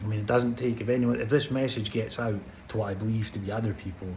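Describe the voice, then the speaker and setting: A man with a Scottish accent at a very fast pace and medium pitch, fairly even intonation and audible room echo. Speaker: vlogger. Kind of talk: personal vlog monologue. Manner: slurred; halting, stammering.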